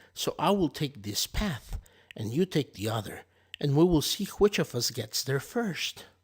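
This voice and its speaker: A man puts on a gruff character voice with a fairly high pitch. He goes at a moderate pace on a very clean recording with a silent background. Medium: read story. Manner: sly, wheedling.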